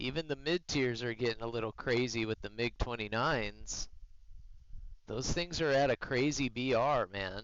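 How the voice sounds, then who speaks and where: In a normal speaking voice, a man speaks at a medium pitch and a moderate pace with ordinary pitch variation. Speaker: streamer, military veteran. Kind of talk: live gameplay stream chat. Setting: live stream. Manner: casual, conversational.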